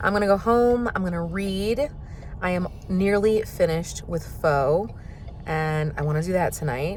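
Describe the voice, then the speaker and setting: A woman speaks in an American accent at a fairly slow pace, her pitch fairly low. Her intonation is lively, and room echo is audible. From Florida. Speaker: vlogger. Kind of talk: casual vlog talk. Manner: animated.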